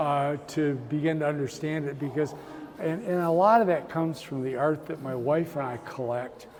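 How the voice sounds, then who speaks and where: Noticeable background noise sits behind a man with a fairly high voice. He talks at a moderate pace with ordinary pitch variation. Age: 70s. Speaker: artist. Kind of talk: interview. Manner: halting, frequent repetitions.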